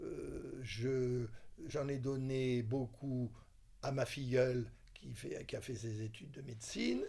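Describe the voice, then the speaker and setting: The speech moves at a very slow pace, with audible room echo in the recording. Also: man. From southern France, Toulon. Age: 70s. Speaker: retired doctor and film enthusiast. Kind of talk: interview testimony. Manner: hesitant, many fillers.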